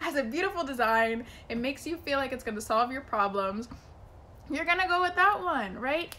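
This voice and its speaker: A woman's animated, raised and projected voice, high-pitched with a bright, sharp tone, very wide pitch swings and a fairly quick pace. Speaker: business coach and YouTuber. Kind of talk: vlog tutorial. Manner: fast.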